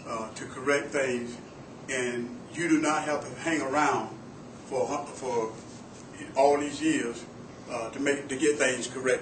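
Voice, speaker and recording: Amid noticeable background noise and audible room echo, a man with fairly high pitch speaks at a fairly slow pace in fairly even intonation, with long, frequent pauses. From Florida. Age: 60s. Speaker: sheriff candidate, retired deputy and army veteran. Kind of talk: campaign speech at public meeting. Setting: library meeting room. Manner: halting, many fillers and repeats.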